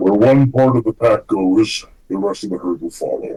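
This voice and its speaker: A man puts on a character voice at a medium pitch. He keeps to a moderate pace. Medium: actual play.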